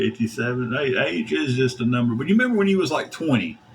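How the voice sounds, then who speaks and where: Lively intonation from a man at medium pitch, with noticeable background noise. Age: 40s. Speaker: livestreamer. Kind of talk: casual chat. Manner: animated.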